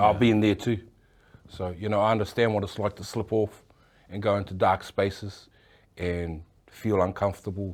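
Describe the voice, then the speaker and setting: The speaker uses monotone, flat intonation with long, frequent pauses. The recording is very clean, with a silent background. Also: man, fairly low pitch for a man, moderate pace. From New Zealand, Auckland. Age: 60s. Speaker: tattoo artist. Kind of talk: interview. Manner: halting.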